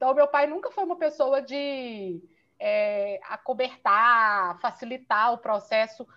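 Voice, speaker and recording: Her lively intonation rides on a fairly high pitch as a woman speaks in a plain, everyday voice. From Minas Gerais, Brazil. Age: 30s. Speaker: physiotherapist and Pilates business owner. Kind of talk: interview.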